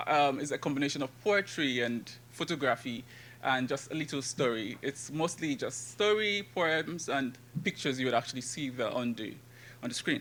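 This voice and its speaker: A Nigerian accent on a very clean recording with a silent background. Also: man, fairly high pitch for a man, ordinary pitch variation, moderate pace. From Nigeria, Rivers State. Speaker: graduate student and poet. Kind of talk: conference paper presentation.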